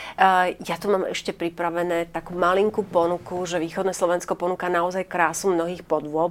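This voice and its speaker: A woman's voice, fairly low in pitch. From eastern Slovakia, Stropkov area. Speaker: TV talk show host. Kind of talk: talk show interview. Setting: studio.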